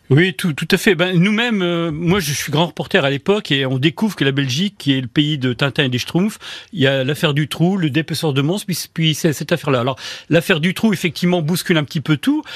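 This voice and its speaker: Fairly high male voice at a fairly quick pace, with ordinary pitch variation and a dry, close sound with no echo. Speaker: journalist and author. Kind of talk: radio interview. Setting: radio studio. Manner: halting.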